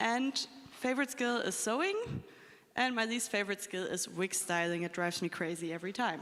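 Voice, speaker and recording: Talking at a fairly quick pace, a woman with an unremarkable speaking voice uses lively intonation at a medium pitch. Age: 20s. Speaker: cosplayer panelist. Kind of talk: convention panel talk.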